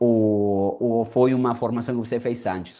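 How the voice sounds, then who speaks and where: With a non-native accent, a man speaks in a dark, mellow tone. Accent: noticeable foreign accent in Portuguese. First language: Spanish (speaking Portuguese). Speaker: interviewer, language content creator. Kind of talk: interview. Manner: casual, repetitive.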